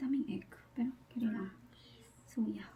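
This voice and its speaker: A soft-spoken woman's very slow, high-pitched voice with music in the background. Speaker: family vlogger. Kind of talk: cooking vlog.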